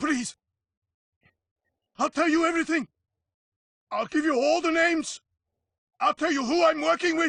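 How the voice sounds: Putting on a character voice, a man speaks at an extremely high pitch with vocal fry and a fairly bright tone, using ordinary pitch variation, a fairly slow pace and long, frequent pauses, in a dry, close sound with no echo.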